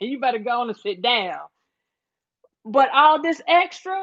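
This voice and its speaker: Speaking in a Southern US accent, a woman uses a high pitch, very wide pitch swings and an animated tone. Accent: Southern drawl. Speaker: livestream host. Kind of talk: casual livestream chat.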